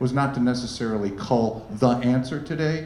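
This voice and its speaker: With audible room echo and noticeable background noise, a man speaks at medium pitch with ordinary pitch variation. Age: 60s. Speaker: wealth manager. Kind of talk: fireside chat.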